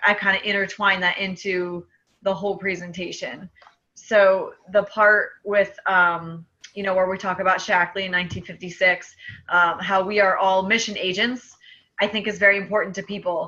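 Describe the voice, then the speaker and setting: The woman's voice sits at a medium pitch and has a bright, sharp tone. Her intonation is monotone and flat. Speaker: speech therapist and sales distributor. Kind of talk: casual chat. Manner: fast.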